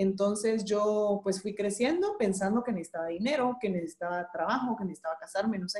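A woman talks at a fairly quick pace with a fairly high pitch, ordinary pitch variation, a dark, mellow tone and a somewhat breathy sound. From Guatemala. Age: 30s. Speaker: entrepreneur and graphic designer. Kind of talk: interview.

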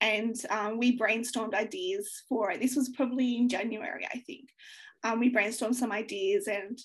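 A woman with an Australian accent speaks at a moderate pace, her fairly high pitch showing ordinary variation. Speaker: young adult author. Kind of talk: interview.

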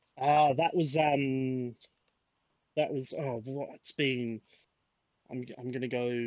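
Speaking at a very slow pace with long, frequent pauses, this voice has an Adelaide accent, a monotone, flat delivery and big swings in loudness. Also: man, medium pitch for a man. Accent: Australian, Adelaide, slight to moderate. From Adelaide, Australia. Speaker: podcast guest. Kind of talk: casual chat.

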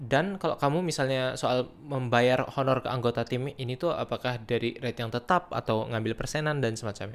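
A man with an unremarkable speaking voice and medium pitch talks at a fairly quick pace with hardly any pauses, on a very clean recording with a silent background. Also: ordinary pitch variation. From Riau, Indonesia. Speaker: podcast host. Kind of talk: casual interview chat.

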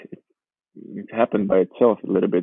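A man with a Georgian accent, fairly low pitch, fairly quick pace and fairly even intonation. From Georgia, raised in Warsaw, Poland. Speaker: professional footballer. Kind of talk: casual interview.

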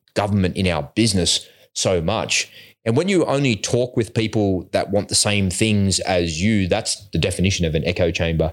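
A man speaks with an Australian accent at a moderate pace, his pitch fairly low with ordinary variation. His loudness stays very even, and the recording is very clean with a silent background. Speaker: podcast host. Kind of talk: casual chat.

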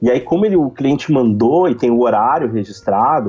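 A man speaks at a fairly quick pace with lively intonation in a plain, everyday voice. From southern Brazil, Rio Grande do Sul (Novo Hamburgo). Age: 30s. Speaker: reputation consultant. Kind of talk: podcast interview.

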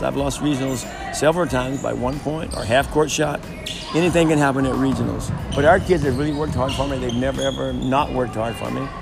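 A very fast pace and ordinary pitch variation, with noticeable background noise. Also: man. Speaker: girls basketball coach. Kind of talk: casual interview answers. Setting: at practice in a school gym.

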